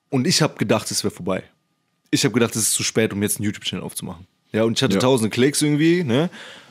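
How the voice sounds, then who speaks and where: Talking at a very fast pace, a man with a medium pitch uses lively intonation in a very clean recording with a silent background. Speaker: podcast host, computer science student. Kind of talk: casual chat. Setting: podcast recording.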